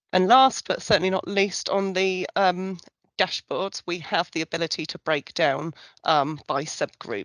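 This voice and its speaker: A woman's voice with ordinary pitch variation, dry and close with no echo. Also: quiet background. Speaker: survey researcher presenting results. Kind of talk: online presentation walkthrough. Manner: fast; hesitant, many fillers.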